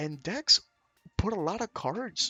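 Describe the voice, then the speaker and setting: A man speaks in an animated tone with music playing in the background. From Venezuela. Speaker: card game YouTuber. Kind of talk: casual tutorial.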